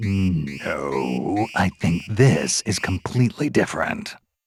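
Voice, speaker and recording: Putting on a character voice, a man speaks very slowly at a fairly low pitch with very wide pitch swings. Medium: video game. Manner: gruff, dry, sarcastic.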